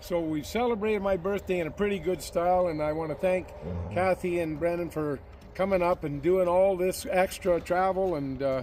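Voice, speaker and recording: A man with a high pitch at a moderate pace, his intonation fairly even. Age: 70s. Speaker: farm equipment maker. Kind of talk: casual chat.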